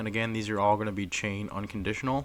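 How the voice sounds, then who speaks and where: This is a man talking. His pitch is fairly low. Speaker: gaming tutorial youtuber. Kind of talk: tutorial. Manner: fast.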